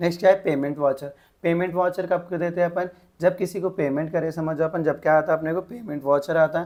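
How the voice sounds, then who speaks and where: This man has a high pitch and fairly even intonation. He talks at a moderate pace. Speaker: tutor. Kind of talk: tutorial. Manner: casual Hindi-English code-mixing.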